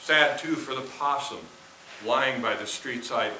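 With an American accent, a man speaks at a fairly slow pace amid audible room echo and light background noise. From Minnesota, US. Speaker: poet. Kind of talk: poetry reading performed. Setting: theater with audience. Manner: measured, expressive. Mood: calm, reflective. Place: stage.

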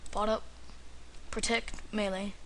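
A man talks with fairly even intonation over light background noise. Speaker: gamer. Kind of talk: video game commentary. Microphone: webcam.

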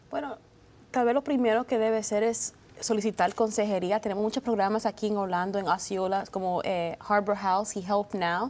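A woman talks at a moderate pace, her pitch medium and varying in an ordinary way. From United States, Dominican parents. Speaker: lawyer. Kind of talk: TV panel discussion. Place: studio. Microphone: lapel.

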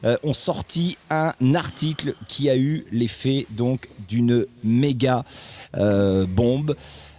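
A man speaks in a dry sound with no echo. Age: 50s. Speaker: football podcast host. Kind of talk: casual chat. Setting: studio. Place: home room. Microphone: studio mic.

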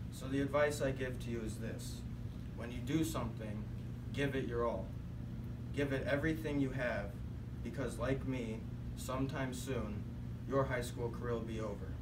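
A man talks at a moderate pace with long, frequent pauses over noticeable background noise. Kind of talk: prepared speech. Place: classroom. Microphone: camera far.

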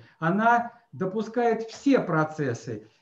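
Audible room echo surrounds the voice. The speaker is a man. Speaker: webinar moderator. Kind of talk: online seminar moderation. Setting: video call. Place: office. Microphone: webcam.

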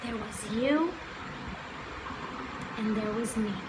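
Slowly and with ordinary pitch variation, a woman with a fairly high voice speaks over clear background noise.

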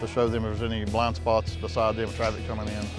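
A man talks at a very fast pace over clear background music. The sound is dry, with no echo. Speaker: ambulance sales director. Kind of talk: product walkaround tour. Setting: trade show floor. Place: hall.

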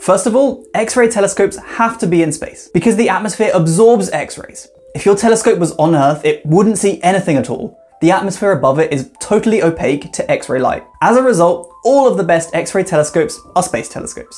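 A man talks with hardly any pauses while faint music plays in the background. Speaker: science educator. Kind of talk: explainer vlog. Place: home room.

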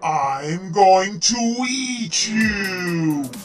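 High-pitched, put-on character voice from a man. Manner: roaring, menacing.

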